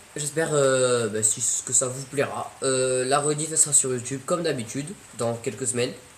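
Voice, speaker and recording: Over noticeable background noise and audible room echo, a man speaks at a moderate pace in a medium pitch with fairly even intonation. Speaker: streamer. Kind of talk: casual chat. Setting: live stream. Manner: loud.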